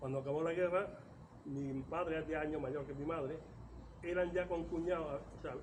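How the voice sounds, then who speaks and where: Audible room echo surrounds a man speaking at a fairly quick pace and fairly high pitch, his intonation fairly even. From Córdoba, Andalusia, Spain. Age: 70s. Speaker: writer and local chronicler. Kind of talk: oral history interview. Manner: halting.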